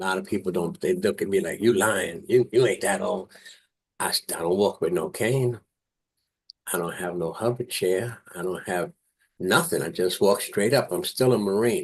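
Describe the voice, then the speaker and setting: With a New York accent, a man talks at a moderate pace and medium pitch, his voice swinging very widely in pitch. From New York, South Bronx. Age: 70s. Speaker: Marine veteran. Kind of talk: interview testimony.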